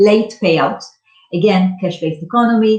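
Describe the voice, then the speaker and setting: A woman with a dark, mellow tone speaks at a moderate pace, her voice somewhat breathy. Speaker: startup founder pitching company. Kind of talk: startup pitch presentation.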